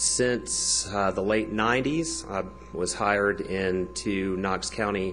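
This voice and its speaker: A man speaks at a very slow pace in a fairly low pitch. His pitch swings very widely, with music in the background. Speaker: teacher. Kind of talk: public comment at a government meeting. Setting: county commission meeting. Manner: unscripted, with some hesitations.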